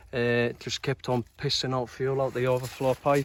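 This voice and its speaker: A man talks at a medium pitch. Noticeable background noise runs underneath. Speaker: dirt bike restorer. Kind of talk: casual talk to camera. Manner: casual, rambling.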